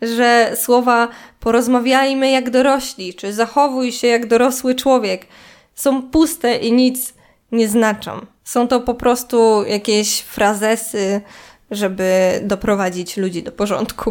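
On a very clean recording with a silent background, a woman speaks at a very slow pace. Her pitch is fairly high and her intonation fairly even. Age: 20s. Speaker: podcaster. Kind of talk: solo monologue.

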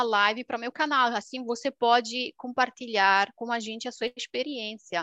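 A woman's fairly high, bright, sharp voice at a moderate pace, with ordinary pitch variation, dry and close with no echo, against a quiet background. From rural Romania, Transylvania. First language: Romanian (speaking Portuguese). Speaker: YouTuber. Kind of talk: casual interview. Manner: talkative.

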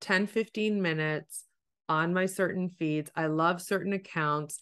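A woman with a Canadian accent speaks in a plain, everyday voice, fairly low in pitch, with fairly even intonation at a fairly slow pace over a quiet background. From Canada, Ontario. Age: 40s. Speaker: life coach. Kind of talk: coaching conversation. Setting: call.

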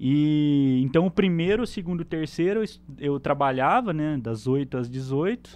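A man speaks at a fairly slow pace in a plain, everyday voice. His pitch is fairly high for a man, with lively intonation. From Brazil, interior of São Paulo (Penápolis). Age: 20s. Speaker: electronic security specialist. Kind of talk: casual chat.

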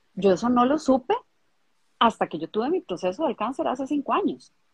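Fairly high in pitch with lively intonation, a woman's unremarkable speaking voice has a dry, close sound with no echo. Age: 50s. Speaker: emotional coach for women. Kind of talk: casual chat. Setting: video livestream.

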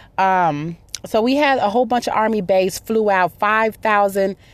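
In an animated tone, a woman speaks at a medium pitch with ordinary pitch variation. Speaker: podcast host. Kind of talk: casual chat.

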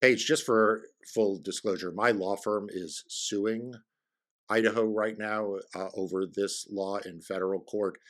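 This is a normal speaking voice with an American accent. The pace is fairly slow and the intonation fairly even. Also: man, fairly low pitch for a man. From New York. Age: 50s. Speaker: election lawyer and podcast host. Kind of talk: casual chat.

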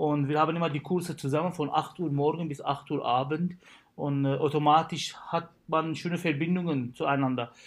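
Speaking with an Arabic accent, a man has a fairly high pitch and fairly even intonation. He keeps a moderate pace against a quiet background. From Syria. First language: Arabic (speaking German). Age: 30s. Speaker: dentist. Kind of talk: casual chat. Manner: hesitant, many fillers.

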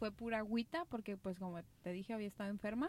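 A woman speaks with a Mexican accent. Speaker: podcast co-host. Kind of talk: casual chat.

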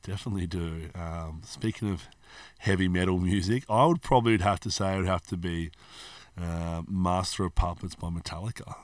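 A man with an Australian accent talks at a fairly quick pace in a very deep, low voice, on a very clean recording with a silent background. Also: ordinary pitch variation. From Australia (Hobart, Tasmania). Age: 30s. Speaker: personal trainer and gym owner. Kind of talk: casual interview chat.

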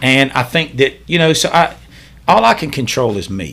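Bright, sharp male voice at a medium pitch, with a Southern US accent and ordinary pitch variation. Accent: US South. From Charlotte, North Carolina. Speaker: police officer. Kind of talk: casual chat.

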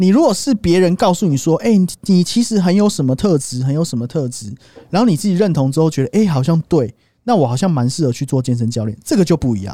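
At a very fast pace, a man with a fairly high pitch and a dark, mellow tone speaks with very wide pitch swings. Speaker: podcast co-host. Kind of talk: casual chat. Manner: animated.

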